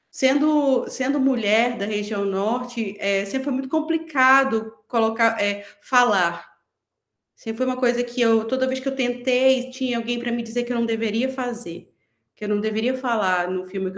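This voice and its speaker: A woman speaks with a northern Brazilian accent. Her pitch varies in an ordinary way. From Pará, northern Brazil. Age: 40s. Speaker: film director. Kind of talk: panel discussion.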